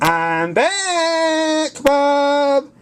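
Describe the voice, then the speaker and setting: This is a put-on character voice pitched high. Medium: read story. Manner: eager, upbeat.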